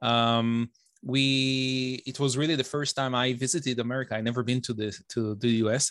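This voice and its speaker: With an Israeli accent, a man speaks at a fairly quick pace and medium pitch, his intonation fairly even. The background is quiet, and the sound is dry and close with no echo. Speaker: software engineer and novelist. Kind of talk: casual interview chat.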